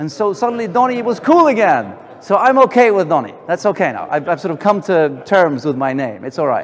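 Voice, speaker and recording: With a high pitch and very wide pitch swings, a man speaks with hardly any pauses. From Sweden. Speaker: entrepreneur. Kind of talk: keynote talk. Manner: fast.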